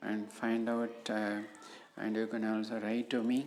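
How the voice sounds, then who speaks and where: A woman with an Indian accent speaks at a very deep, low pitch, with audible room echo around her. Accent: Indian English (Tamil). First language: Tamil. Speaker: professor. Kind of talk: lecture. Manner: halting, many fillers.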